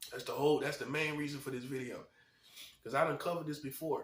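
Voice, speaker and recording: This man talks at a very fast pace with a fairly high pitch and an animated tone. Noticeable background noise runs under his voice. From North Carolina. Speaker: video commentator, self-styled prophet. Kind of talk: monologue rant to camera. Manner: animated, emphatic and repetitive.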